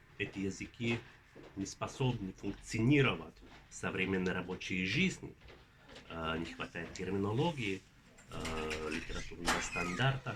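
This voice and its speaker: A man with a Finnish accent, fairly low in pitch with ordinary pitch variation, at a fairly slow pace with long, frequent pauses and audible room echo. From Finland. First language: Finnish (speaking Russian). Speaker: linguistics professor. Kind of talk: interview. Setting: at a conference. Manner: halting, many filler sounds.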